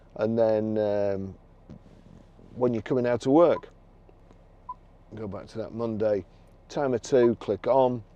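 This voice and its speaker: In a Lancashire accent, a man speaks fairly slowly at medium pitch with fairly even intonation. His loudness swings widely, and he takes long, frequent pauses. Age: 60s. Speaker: car dealer. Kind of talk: product demonstration. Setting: in a car. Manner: halting.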